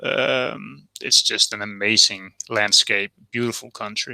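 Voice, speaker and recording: A man's voice is heard. It has a bright, sharp tone. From Denmark. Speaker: whisky enthusiast guest. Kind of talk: casual chat. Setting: live video call stream.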